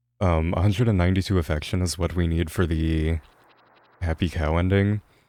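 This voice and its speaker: Mumbling at a fairly quick pace, a man speaks in a very deep, low pitch with a dark, mellow tone and fairly even intonation. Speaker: video game speedrunner streamer. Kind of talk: live game commentary. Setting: live stream. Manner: mumbling, low energy.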